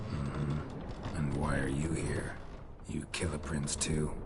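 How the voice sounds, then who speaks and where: A man doing a cartoonish character voice at a fairly slow pace over loud background noise. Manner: terse, deadpan.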